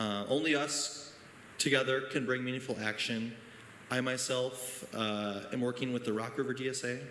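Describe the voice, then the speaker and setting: A man speaks with fairly even intonation. Noticeable background noise and an audible room echo accompany his voice. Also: moderate pace. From Janesville, Wisconsin, US Midwest. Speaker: teacher speaking at town hall. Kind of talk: public comment speech. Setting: town hall meeting, high school. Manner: hesitant, many fillers.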